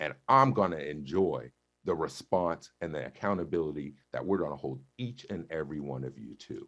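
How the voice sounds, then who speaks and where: Using an animated tone, a man with a very deep, low voice and vocal fry talks at a moderate pace. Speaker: school board director. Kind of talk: heated debate. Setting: video call. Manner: loud.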